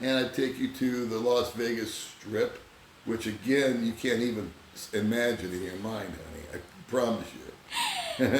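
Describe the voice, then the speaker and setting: Over noticeable background noise and audible room echo, a man with an American accent speaks at a medium pitch. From Southern California. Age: 60s. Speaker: vlogger. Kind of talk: casual chat.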